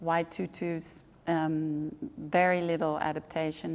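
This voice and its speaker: Very slowly, a woman speaks in a fairly low pitch with monotone, flat intonation. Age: 60s. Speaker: ballet director and choreographer. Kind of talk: interview. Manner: hesitant, many fillers.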